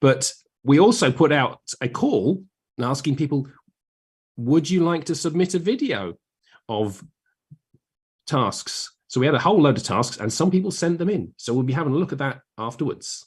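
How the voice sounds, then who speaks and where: A somewhat breathy, fairly high-pitched man with a southern English accent and long, frequent pauses. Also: lively intonation, moderate pace. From southern England. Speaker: maths teacher. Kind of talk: casual chat. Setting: live stream.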